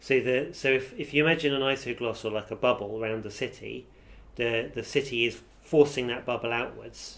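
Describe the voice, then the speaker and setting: Speaking at a fairly quick pace, a man uses a medium-pitched voice with vocal fry and fairly even intonation. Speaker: university professor, dialect researcher. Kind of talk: interview answer.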